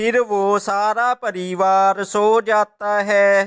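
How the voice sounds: Very slow and dry, the close sound with no echo carries a fairly bright, clear, smooth tone with little pitch movement.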